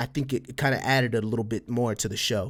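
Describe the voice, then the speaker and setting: The very clean recording with a silent background captures a man with an American accent at a medium pitch and fairly even intonation. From Texas, El Paso (border with Mexico). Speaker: podcast host and streamer. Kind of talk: casual chat. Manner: casual, filler-heavy.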